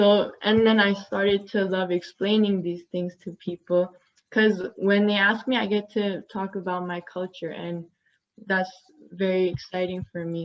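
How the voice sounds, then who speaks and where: Speaking at a fairly slow pace with a non-native accent, a woman keeps a medium pitch and a monotone, flat intonation. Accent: noticeable foreign-sounding accent in English. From US, Glendale California (Armenian community). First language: Armenian. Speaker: university student panelist. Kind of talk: panel discussion.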